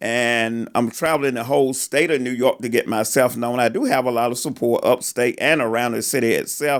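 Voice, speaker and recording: In a very clean recording with a silent background, a man with a Southern accent and a medium pitch talks at a fairly quick pace with hardly any pauses. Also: fairly even intonation. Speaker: political candidate and podcast co-host. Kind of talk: casual political podcast chat. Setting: studio.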